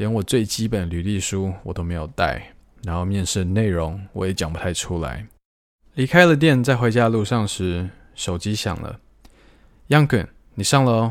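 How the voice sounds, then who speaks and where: Lively intonation and long, frequent pauses mark this moderately paced delivery, captured in a very clean recording with a silent background. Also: man, fairly low pitch for a man. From Taiwan. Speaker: podcast host. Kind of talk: solo podcast storytelling.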